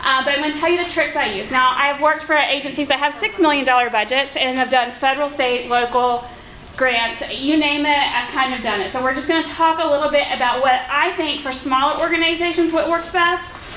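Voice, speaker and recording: Speaking at a fairly quick pace with hardly any pauses, a woman uses a raised, projected voice at a high pitch with ordinary pitch variation, amid audible room echo and noticeable background noise. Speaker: nonprofit founder and grant writer. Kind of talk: conference workshop presentation. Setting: conference room with audience and projector. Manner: loud; informal.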